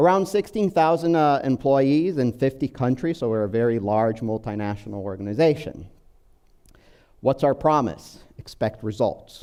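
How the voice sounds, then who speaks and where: A man speaks with a slight Brazilian accent at a medium pitch. His tone is dark and mellow, and his intonation is lively. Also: moderate pace. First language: Portuguese. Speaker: business software manager. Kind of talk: conference presentation. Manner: hesitant, many fillers.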